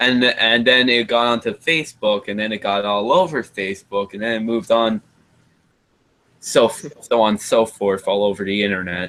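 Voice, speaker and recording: A normal speaking voice from a man, mid-range in pitch, with ordinary variation and a moderate tempo. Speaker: live stream host. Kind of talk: casual chat.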